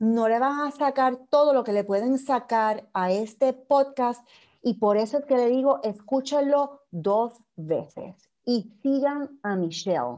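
A woman speaks at a high pitch with a dark, mellow tone and lively intonation. Her pace is fairly slow, and the background is quiet. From Puerto Rico. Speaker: podcast host. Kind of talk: interview.

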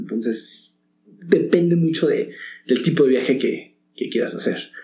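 Dark and mellow in tone, a man's voice sits at a fairly high pitch. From Mexico. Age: 40s. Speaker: actor. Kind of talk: casual interview.

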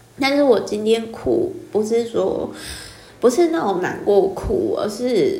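A very slow voice in a Taiwanese accent, with very wide pitch swings and audible room echo. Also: woman. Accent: Taiwanese Mandarin. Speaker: podcaster and book reviewer. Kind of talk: solo book-review monologue.

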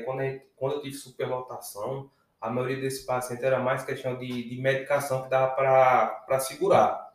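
A man with a medium pitch talks with hardly any pauses. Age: 30s. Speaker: emergency physician. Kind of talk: casual interview chat. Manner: halting, repeats words.

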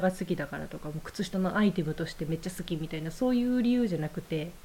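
A woman with a Kansai accent speaks in a fairly low, somewhat breathy voice with a dark, mellow tone and lively intonation. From Nara Prefecture, Kansai. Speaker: sock shop co-owner. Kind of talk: casual chat.

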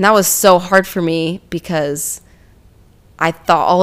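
A woman with an unremarkable speaking voice talks fairly slowly at a fairly low pitch, her intonation fairly even. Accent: American. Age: 20s. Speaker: physical therapy assistant. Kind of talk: casual chat.

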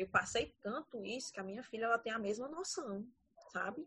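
Somewhat breathy, a woman talks at a fairly high pitch and a moderate pace. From Ceará, Brazil (Paracuru). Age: 30s. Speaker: teacher. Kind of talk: casual chat.

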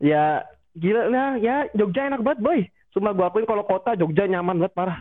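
A man talks with lively intonation at a fairly quick pace, his pitch high. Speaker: student photographer. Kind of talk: casual chat.

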